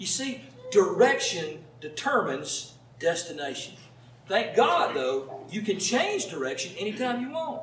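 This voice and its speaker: A man with a Southern US accent at a fairly slow pace, amid light background noise and audible room echo. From US South. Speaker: pastor. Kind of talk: sermon. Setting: church with congregation. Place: home room.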